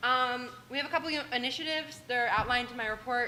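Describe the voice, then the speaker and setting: Here a woman speaks at a fairly high pitch. Background noise is noticeable. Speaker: student government leader. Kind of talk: meeting report. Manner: loud; animated.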